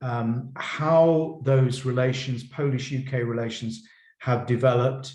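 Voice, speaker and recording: A man, somewhat breathy, at a fairly slow pace, with audible room echo. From Poland. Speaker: professor. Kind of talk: lecture. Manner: halting, many repetitions.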